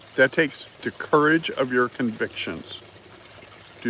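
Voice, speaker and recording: Noticeable background noise is present throughout. The speaking moves at a fairly slow pace. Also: man. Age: 60s. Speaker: political commentary livestreamer. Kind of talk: casual live stream commentary. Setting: live stream greeting chat viewers. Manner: halting, many fillers.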